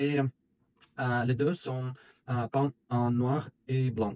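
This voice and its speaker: A man speaks very slowly at a medium pitch. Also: dry, close sound with no echo. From Russia. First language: Russian (speaking French). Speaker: video blogger. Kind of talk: commentary monologue. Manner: halting, many hesitations.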